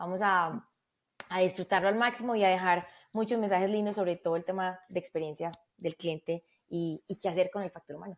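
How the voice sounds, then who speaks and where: With a Medellín accent, a woman speaks at a fairly quick pace and medium pitch with fairly even intonation, in a dry, close recording with no echo that is very clean with a silent background. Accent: paisa (Medellín) Spanish. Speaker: customer experience executive. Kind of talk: podcast interview.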